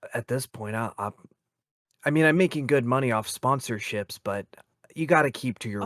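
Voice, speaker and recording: A man puts on a raspy character voice at a medium pitch and moderate pace. He leaves long, frequent pauses. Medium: actual play.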